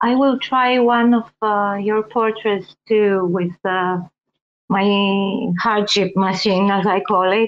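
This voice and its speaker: The woman's pitch sits fairly high, and her intonation stays fairly even. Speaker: AI artist. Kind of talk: casual chat.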